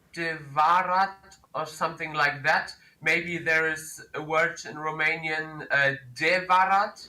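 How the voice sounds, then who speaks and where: Fairly slow, monotone, flat speech from a man with a German accent and a fairly high pitch, amid noticeable background noise. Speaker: call-in guest, language learner. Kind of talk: casual chat, language guessing game. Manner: halting, many fillers.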